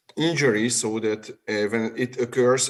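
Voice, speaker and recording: This is a man with a Hungarian accent. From Hungary. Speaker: urologic surgeon. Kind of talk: webinar Q&A answer. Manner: halting.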